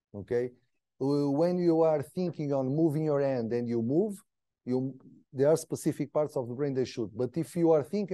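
Over a quiet background, a man with a Portuguese accent talks at a fairly high pitch with ordinary pitch variation. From Portugal. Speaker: PhD researcher. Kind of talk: lecture. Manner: halting.

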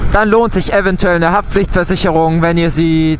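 The man speaks at a moderate pace with fairly even intonation, recorded in a dry sound with no echo over light background noise. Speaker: motovlogger rider. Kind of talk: casual vlog chat. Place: motorbike.

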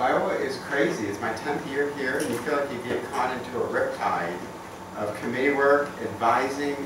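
Noticeable background noise is present as a man talks. The room echo is audible. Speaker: university professor presenting. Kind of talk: informal talk to colleagues. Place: meeting room. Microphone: camera far.

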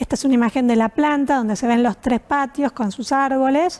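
A high-pitched woman at a fairly quick pace, with fairly even intonation. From Argentina, Buenos Aires. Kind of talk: presentation. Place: home room.

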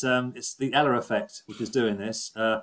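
The background stays quiet while a man talks. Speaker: webinar host. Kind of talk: casual presenting to online audience. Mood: jokey, warm.

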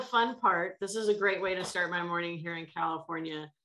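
Light background noise sits under a woman's speech. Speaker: session moderator, innovation program director. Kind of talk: moderating a pitch panel. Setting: video call. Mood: cheerful, friendly. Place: home room. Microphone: webcam.

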